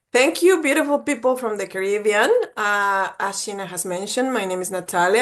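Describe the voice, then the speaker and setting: A woman speaks with a Mexican accent. Her pace is moderate. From Mexico. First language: Spanish. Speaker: college admissions representative. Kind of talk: webinar presentation. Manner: animated.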